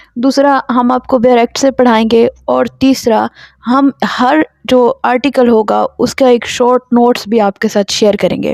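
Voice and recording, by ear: A woman's fairly high voice with vocal fry and a slightly mellow tone, fairly even in intonation, at a fairly slow pace with few pauses, in a dry, close sound with no echo.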